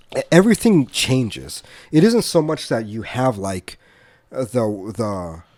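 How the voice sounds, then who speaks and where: A man's medium-pitched voice, fairly slow, with very wide pitch swings. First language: Spanish. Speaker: podcast co-host. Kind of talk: casual discussion. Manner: halting, many repeated words.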